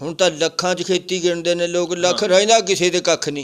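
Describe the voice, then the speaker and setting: A man speaks with a high pitch. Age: 80s+. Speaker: elderly villager. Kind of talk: interview answer.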